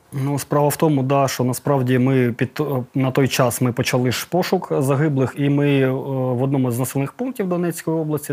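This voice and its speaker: An unremarkable speaking voice from a man, fairly high in pitch, at a moderate pace with fairly even intonation. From Donetsk region, Ukraine. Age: 30s. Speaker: volunteer search group leader recovering war dead. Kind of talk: interview testimony.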